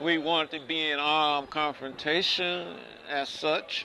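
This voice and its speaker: A speaker with an American accent talks in a bright, sharp tone. Crowd noise carries in the background. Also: man. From Chicago. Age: 60s. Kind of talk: oral history interview answer. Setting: outdoors.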